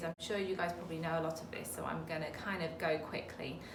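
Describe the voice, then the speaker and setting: A woman's voice with audible room echo and noticeable background noise. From Britain. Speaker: medical herbalist. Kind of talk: educational talk. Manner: casual, frequent ums.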